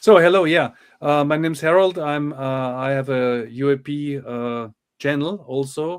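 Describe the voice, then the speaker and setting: This man has a German accent. His pitch variation is ordinary. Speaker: UAP channel host, moderator and translator. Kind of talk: interview moderation. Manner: halting.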